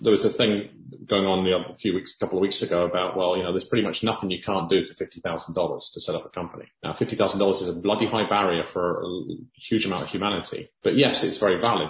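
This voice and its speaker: A man with a fairly low, somewhat breathy voice talks at a very fast pace. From Cayman Islands. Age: 50s. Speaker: podcast host. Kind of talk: interview.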